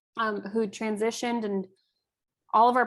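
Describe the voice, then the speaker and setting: This woman's voice sits fairly high and shows ordinary pitch variation. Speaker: volunteer organization leader. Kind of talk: presentation over video call. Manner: fast.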